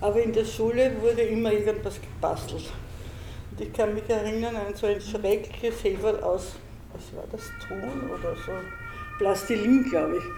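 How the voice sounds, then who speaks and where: A woman talks at a moderate pace, stopping often for long pauses, and her loudness swings widely. The room echoes audibly and background noise is noticeable. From Styria, Austria. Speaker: storytelling circle participant. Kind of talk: personal storytelling. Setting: public library event room.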